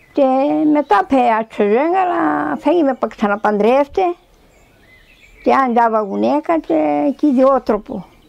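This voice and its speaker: A woman with a Tsakonian accent speaks at a fairly slow pace, her pitch swinging very widely. The sound is dry and close with no echo, though background noise is noticeable. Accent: Tsakonian dialect Greek. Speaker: elderly villager, dialect speaker. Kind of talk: oral history interview.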